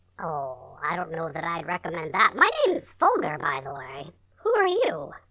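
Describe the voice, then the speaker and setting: This is a put-on character voice. It sits at a middle pitch and moves at a moderate pace. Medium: actual play. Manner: hesitant, stammering, lots of "uh" and "um".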